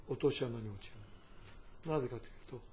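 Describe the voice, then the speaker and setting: Dark, mellow tone at a fairly quick pace. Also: man. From Fukuoka Prefecture, Japan (Nogata). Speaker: company chairman. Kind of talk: interview, personal reminiscence.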